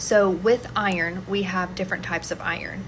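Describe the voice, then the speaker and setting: Audible room echo surrounds this voice. The woman talks at a medium pitch. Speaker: nutrition and mental health educator. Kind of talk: educational monologue. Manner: casual.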